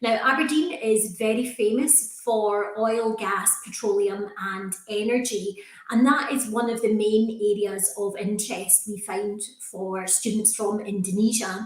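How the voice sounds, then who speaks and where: In a Scottish accent, the speaker talks fairly slowly with fairly even intonation, amid audible room echo and noticeable background noise. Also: woman, fairly high pitch for a woman. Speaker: university recruitment manager. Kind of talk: presentation to prospective students.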